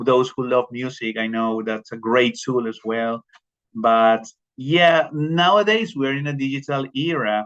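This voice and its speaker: A man speaks with a Spanish accent. His pitch varies in an ordinary way. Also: medium pitch for a man, fairly slow pace. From Colombia. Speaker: teacher. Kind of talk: professional development presentation. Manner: halting, many repetitions and fillers.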